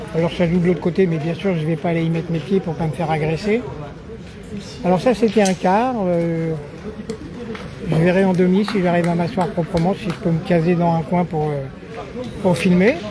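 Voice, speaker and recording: Over noticeable background noise and audible room echo, a man with a high voice talks at a moderate pace with fairly even intonation, leaving long, frequent pauses. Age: 70s. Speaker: amateur sports videographer and commentator. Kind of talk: casual chat; live commentary. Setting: outdoors at a petanque tournament. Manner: casual.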